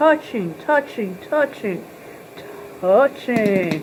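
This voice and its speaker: A woman mumbles with very wide pitch swings over noticeable background noise. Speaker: video blogger. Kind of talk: tutorial. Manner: mumbling; casual.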